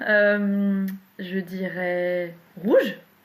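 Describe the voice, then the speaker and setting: The speaker is a woman at a medium pitch. She keeps a fairly even intonation. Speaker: poet. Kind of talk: interview. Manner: halting.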